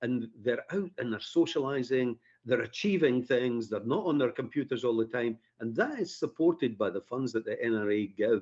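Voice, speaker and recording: At a moderate pace, a man with a Scottish accent speaks in a medium pitch. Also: lively intonation. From Scotland, Edinburgh area. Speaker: firearms instructor. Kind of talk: radio interview.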